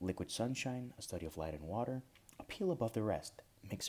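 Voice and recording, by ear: The intonation is lively as someone reads aloud in a natural voice.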